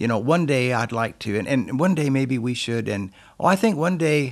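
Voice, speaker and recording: Here a man speaks with a southwestern US accent at medium pitch. His intonation is lively. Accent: American, southwestern. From Yuma, Arizona, US. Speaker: senior pastor. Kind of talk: casual interview.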